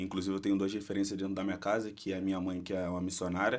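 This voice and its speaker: Against a very clean recording with a silent background, a man delivers fairly low-pitched, monotone, flat speech at a very fast pace. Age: 20s. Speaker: church ministry member. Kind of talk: casual interview.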